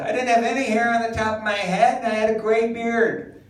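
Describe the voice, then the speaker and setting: Over noticeable background noise, a man talks in an extremely high pitch. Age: 60s. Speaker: stand-up comedian. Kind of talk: stand-up. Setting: stage with audience.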